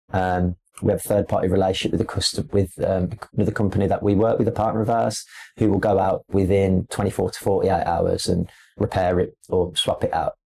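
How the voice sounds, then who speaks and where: A man speaks at a fairly quick pace with a fairly low pitch. His voice is somewhat breathy, with a dark, mellow tone. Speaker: display company representative. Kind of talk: podcast interview. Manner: casual, with frequent fillers and repetitions.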